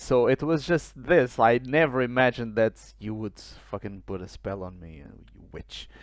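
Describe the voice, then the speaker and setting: A man at a medium pitch with lively intonation, a fairly slow pace and big swings in loudness. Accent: Portuguese. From Portugal. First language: Portuguese. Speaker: podcast co-host. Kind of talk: casual chat. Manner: hesitant with fillers.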